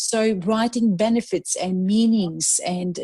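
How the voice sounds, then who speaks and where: Somewhat breathy speech in a dark, mellow tone, with a non-native accent. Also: woman. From Serbia. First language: Serbian. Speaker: life strategist and motivational speaker. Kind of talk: interview conversation. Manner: halting, many fillers and restarts.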